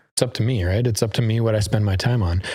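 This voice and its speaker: A man with medium pitch and fairly even intonation speaks in an ordinary speaking voice. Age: 30s. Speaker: real estate agent. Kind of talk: casual interview chat.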